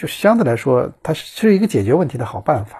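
A man speaks at a moderate pace, somewhat breathy, with very wide pitch swings, on a very clean recording with a silent background. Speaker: podcast host, former traveling reporter. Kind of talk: casual solo monologue. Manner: halting, many fillers and repetitions.

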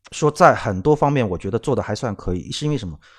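A man's medium-pitched voice with vocal fry at a very fast pace, on a very clean recording with a silent background. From Shanghai, China. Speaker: podcast co-host, former car magazine editor. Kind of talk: casual chat.

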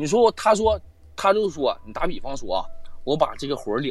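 At a very fast clip, a man's voice shows vocal fry and very wide pitch swings. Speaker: live-stream guest storyteller. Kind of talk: casual storytelling. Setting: live online voice call. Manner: animated, fast talker, profane.

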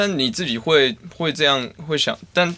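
A man with lively intonation and a bright, sharp tone. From Taiwan, Taichung. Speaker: podcast host. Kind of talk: casual chat.

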